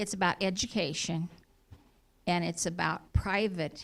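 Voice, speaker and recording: Very slowly, a woman talks at a fairly low pitch with fairly even intonation. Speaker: community resident asking a question. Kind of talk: public Q&A question. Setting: town hall meeting at city hall. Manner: shaky, hesitant.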